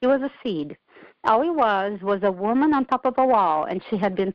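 A woman speaks with a Portuguese accent. Her pitch sits in the middle of her range, and her intonation is lively. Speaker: author, former military public affairs civilian. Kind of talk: casual interview.

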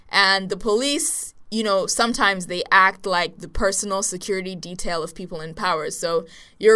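A woman speaks at a moderate pace in a bright, sharp tone at medium pitch with ordinary pitch variation, in a very clean recording with a silent background. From Nigeria. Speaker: podcast co-host. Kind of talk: casual chat.

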